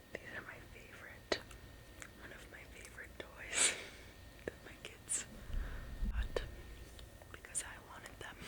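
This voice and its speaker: Someone whispers with long, frequent pauses amid noticeable background noise. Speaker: ASMR creator. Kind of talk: ASMR whispered relaxation talk. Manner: whispered, soft-spoken.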